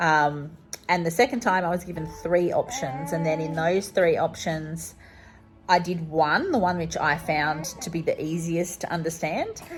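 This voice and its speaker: Over background music, a woman with an Australian accent speaks at a moderate pace in a fairly low voice. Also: ordinary pitch variation. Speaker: vlogger. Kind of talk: casual vlog talk to camera.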